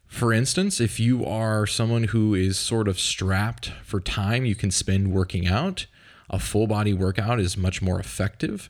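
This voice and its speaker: In a very clean recording with a silent background, a man with a normal speaking voice talks fairly slowly at a fairly low pitch, his loudness very even. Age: 30s. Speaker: fitness coach and podcast host. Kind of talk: solo podcast monologue. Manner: casual, conversational with fillers.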